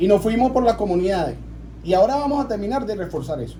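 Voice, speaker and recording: A man's high-pitched voice, very fast, with lively intonation. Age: 40s. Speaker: local councillor. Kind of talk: radio interview.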